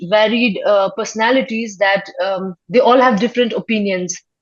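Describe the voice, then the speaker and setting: A woman with a Nepali accent at a fairly slow pace. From Sikkim, India. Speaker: filmmaker. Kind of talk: interview. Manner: halting, many fillers.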